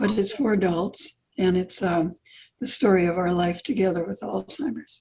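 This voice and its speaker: Dark, mellow tone with some breathiness, ordinary pitch variation and a moderate pace. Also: woman, medium pitch for a woman. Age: 80s+. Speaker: children's author. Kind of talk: interview.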